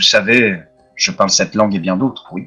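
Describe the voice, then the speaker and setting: A man speaks in a put-on character voice, booming and calm in tone, fairly low in pitch and at a fairly quick pace, with faint music in the background. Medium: actual play. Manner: calm, measured, affable.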